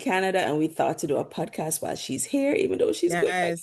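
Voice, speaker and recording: She speaks at a medium pitch. The woman has a Jamaican accent. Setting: podcast.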